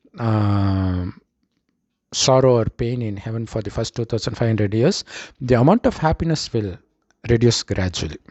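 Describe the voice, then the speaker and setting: This man speaks with a Tamil accent at a medium pitch and moderate pace. His pitch varies in an ordinary way. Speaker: spiritual teacher. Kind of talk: spiritual talk.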